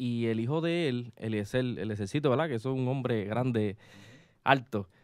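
A man's medium-pitched voice, dry with no echo, over a quiet background. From Puerto Rico. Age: 20s. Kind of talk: casual chat. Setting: studio. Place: studio. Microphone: studio mic.

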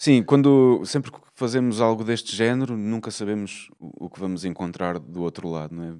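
A man with a dark, mellow tone and fairly low pitch speaks with lively intonation and big swings in loudness. He keeps a moderate pace with hardly any pauses against a quiet background. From Portugal, Lisbon. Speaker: jazz guitarist and music teacher; music teacher. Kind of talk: interview conversation. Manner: halting, with repetitions. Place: hall. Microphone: handheld.

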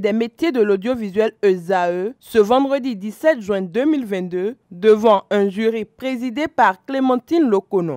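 The sound is dry and close, with no echo. A woman speaks in a dark, mellow tone at a fairly high pitch. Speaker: TV reporter. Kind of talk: scripted narration.

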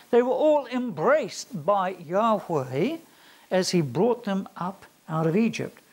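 A man speaks at a very slow pace. His pitch swings very widely. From rural farming community. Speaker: theology lecturer. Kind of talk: lecture. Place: classroom. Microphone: lapel.

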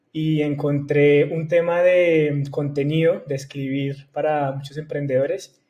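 Speaking at a fairly slow pace, a man has a dark, mellow, somewhat breathy tone and a monotone, flat intonation. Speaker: guest. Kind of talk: interview answer. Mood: friendly, relaxed, smiling. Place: home room. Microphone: earbuds.

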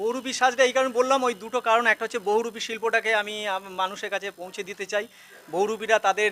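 Intonation is fairly flat and even. The sound is close and dry, without echo. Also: man, high pitch for a man. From West Bengal, Hooghly district. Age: 50s. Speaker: primary school headmaster and awareness campaigner. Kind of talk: street interview.

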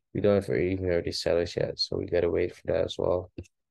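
In a Dutch accent, a man speaks at a fairly quick pace. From Netherlands. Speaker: forex trading video host. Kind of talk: casual trading analysis monologue. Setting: screen-share video, home. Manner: casual, rambling, self-correcting.

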